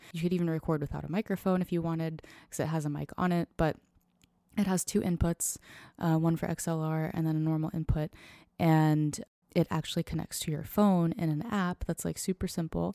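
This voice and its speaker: A woman speaks at a fairly quick pace with an American accent, her pitch fairly low and her intonation fairly even. Her tone is dark and mellow, and the sound is dry and close with no echo on a very clean recording with a silent background. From US Florida. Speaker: singer-songwriter. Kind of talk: casual interview. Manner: relaxed, laid-back.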